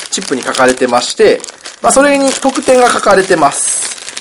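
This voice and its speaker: A man's pitch swings very widely as he talks over noticeable background noise. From Kansai, Himeji area (Hyogo). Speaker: podcast co-host, board game designer. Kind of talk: casual chat with board game explanation.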